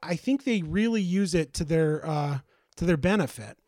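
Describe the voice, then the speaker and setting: Recorded dry and close with no echo, a man talks at a fairly quick pace with lively intonation. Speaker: former podcast co-host. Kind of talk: casual chat.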